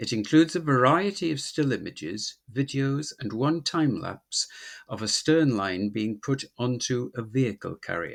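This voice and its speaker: With an unremarkable speaking voice, a man talks at a moderate pace and medium pitch with lively intonation against a quiet background. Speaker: ship spotter and video maker. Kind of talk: documentary voice-over narration.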